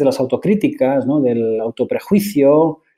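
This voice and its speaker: The man's voice has a dark, mellow tone. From Basque Country, Spain. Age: 40s. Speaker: tech executive. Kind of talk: interview. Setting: podcast.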